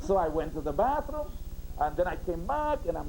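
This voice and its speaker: Very wide pitch swings mark this fairly quick speech, heard over noticeable background noise. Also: man. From Puerto Rico, mountain coffee region. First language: Spanish. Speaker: sociology professor. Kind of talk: interview on educational TV, storytelling. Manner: animated; forceful.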